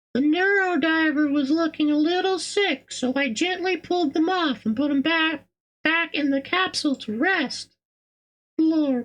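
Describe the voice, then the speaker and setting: This is a put-on character voice, squeaky and high in pitch. It moves at a moderate pace. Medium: game stream. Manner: warm, gentle.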